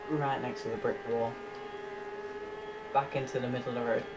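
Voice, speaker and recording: Loud background noise runs under a man's voice. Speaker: gamer. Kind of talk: gameplay commentary. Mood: lightly frustrated, joking. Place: home room.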